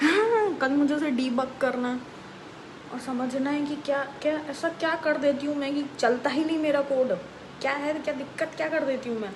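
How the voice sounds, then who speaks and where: A woman's high voice with audible room echo and noticeable background noise. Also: ordinary pitch variation, moderate pace. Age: 20s. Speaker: vlogger. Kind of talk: casual late-night vlog rant. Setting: bedroom late at night. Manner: casual, animated.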